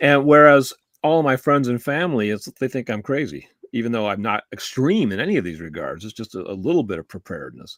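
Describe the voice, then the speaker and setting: A man talks at a moderate pace with a medium pitch and lively intonation, the sound dry and close with no echo. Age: 60s. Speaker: talk show co-host. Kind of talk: casual discussion. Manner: halting, many fillers and restarts.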